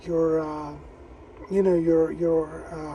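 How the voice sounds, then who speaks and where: A man speaks very slowly against noticeable background noise. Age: 60s. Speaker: amateur radio operator. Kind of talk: casual chat. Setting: radio contact over repeater on handheld.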